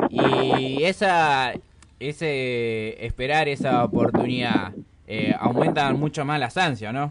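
A man speaks at a very slow pace and medium pitch with ordinary pitch variation, against noticeable background noise. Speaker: radio host. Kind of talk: casual radio chat.

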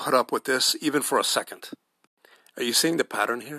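A man speaks with fairly even intonation in a bright, sharp tone. The sound is dry and close with no echo, on a very clean recording with a silent background. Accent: American. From United States. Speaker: podcast host. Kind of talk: solo podcast commentary. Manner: halting, frequent repetitions and fillers.

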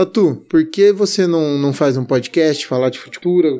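A man speaks here. His tone is dark and mellow. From Brazil, Jundiaí, São Paulo state. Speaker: agronomist and podcast host. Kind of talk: casual podcast monologue. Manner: casual, informal.

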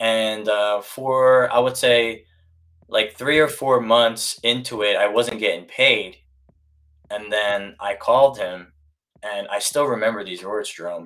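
A man with an unremarkable speaking voice and an American accent talks at a fairly slow pace and medium pitch, with ordinary pitch variation and big swings in loudness. The recording is very clean, with a silent background. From US, Korean American family. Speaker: real estate agent. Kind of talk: casual chat. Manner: casual.

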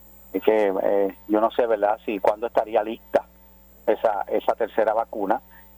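With monotone, flat intonation and fairly low pitch, a man speaks at a moderate pace in a dry, close sound with no echo. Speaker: pastor. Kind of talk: radio interview by phone.

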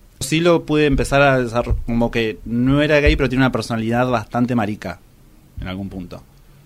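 Using a medium pitch, the man talks very fast, and his pitch varies in an ordinary way. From Argentina, Luján (Buenos Aires province). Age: 30s. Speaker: interviewee sharing personal story. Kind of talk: testimony. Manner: halting.

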